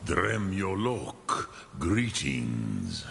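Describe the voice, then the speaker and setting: Here a man puts on a character voice with a very deep, low pitch. Clear background noise can be heard. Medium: video game. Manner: slow, solemn, measured.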